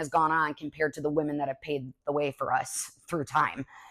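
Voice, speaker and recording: A woman talks at a very fast pace. She has an American accent. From Chicago, US Midwest. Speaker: sports broadcaster. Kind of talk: casual Q&A podcast. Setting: at home on couch.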